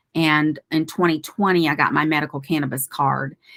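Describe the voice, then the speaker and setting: In a very clean recording with a silent background, a woman with an ordinary speaking voice speaks at a moderate pace and a fairly low pitch. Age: 60s. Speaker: cannabis coach and physician assistant. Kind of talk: interview. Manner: casual, conversational.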